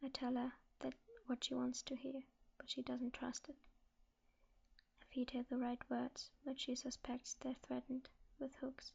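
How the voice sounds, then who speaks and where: A soft-spoken woman is whispering at a fairly slow pace. She leaves long, frequent pauses. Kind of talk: ASMR book reading. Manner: soft-spoken, whispered.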